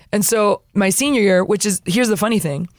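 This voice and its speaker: In a Spanish accent, a woman talks at a fairly quick pace with a fairly high pitch. Her tone is animated, and her pitch variation is ordinary. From US Florida. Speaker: missionary sharing testimony. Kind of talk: testimony. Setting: studio. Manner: animated, humorous.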